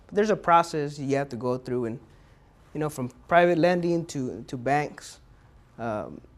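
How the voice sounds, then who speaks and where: Intonation is lively from a man with a fairly high pitch. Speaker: small business advisor for veterans. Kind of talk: lecture. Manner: fast.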